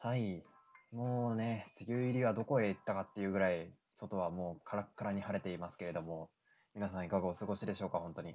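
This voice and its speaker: A man talks at a very fast pace. His pitch is fairly low with ordinary variation. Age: 20s. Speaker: solo podcast host. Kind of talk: casual solo talk radio.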